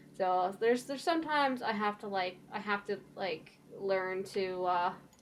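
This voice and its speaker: A woman's quiet, medium-pitched voice at a moderate pace with ordinary pitch variation. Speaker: streamer. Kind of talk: casual chat.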